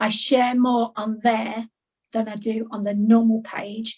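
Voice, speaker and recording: Very slow and flat, a woman speaks in a monotone. Her pitch is fairly high. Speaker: indie author. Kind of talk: casual chat. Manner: wordy, talkative.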